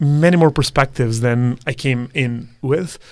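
A man speaks with a Serbian accent. His pitch variation is ordinary. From Serbia, Belgrade. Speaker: math student. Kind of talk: interview.

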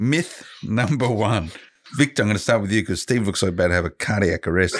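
A man with an Australian accent, talking at a very fast pace. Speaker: podcast co-host and interviewer. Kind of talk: casual podcast discussion. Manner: jokey, teasing.

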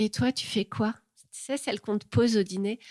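A woman at a moderate pace, in a dry, close sound with no echo. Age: 40s. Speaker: former engineer turned illustrator. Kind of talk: interview. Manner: halting.

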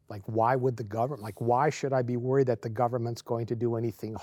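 In an ordinary speaking voice, a man talks at medium pitch with fairly even intonation on a very clean recording with a silent background. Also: hardly any pauses. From Canada. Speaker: religious TV host. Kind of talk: interview.

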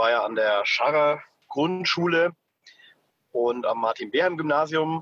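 A man's fairly high-pitched voice at a very slow pace, with a dry, close sound and no echo. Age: 30s. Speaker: city councillor. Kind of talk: interview.

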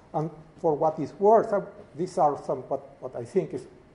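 A man speaks in a dark, mellow tone that is somewhat breathy. His pitch varies in an ordinary way. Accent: Spanish. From Uruguay. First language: Spanish. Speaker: professor. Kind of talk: lecture.

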